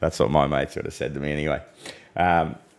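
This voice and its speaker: A man is talking. He speaks with an Australian accent. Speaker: weather forecaster. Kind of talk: live stream discussion. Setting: live stream. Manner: quiet; frequent small coughs.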